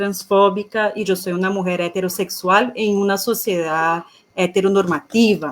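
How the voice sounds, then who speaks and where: A woman with a Portuguese accent speaks at a medium pitch and a moderate pace. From Brazil. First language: Portuguese (speaking Spanish). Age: 30s. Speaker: economist and feminist activist. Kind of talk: panel talk.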